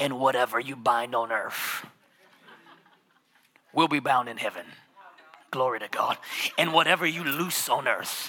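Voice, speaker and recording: Using a put-on character voice at medium pitch, a man speaks with long, frequent pauses. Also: moderate pace. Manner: booming, fervent.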